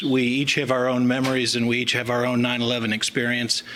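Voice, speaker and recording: Amid noticeable background noise and audible room echo, a man at a medium pitch talks fairly quickly in a flat monotone. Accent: slight Southern US. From US South. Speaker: chief medical examiner. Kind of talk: formal speech. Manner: halting with fillers.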